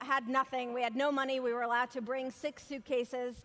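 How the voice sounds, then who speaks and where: Over noticeable background noise, a woman speaks at a fairly quick pace. Her high-pitched voice carries an animated tone. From former Soviet Union, moved to US at 13. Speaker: motivational speaker. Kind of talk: keynote speech. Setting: stage with large audience.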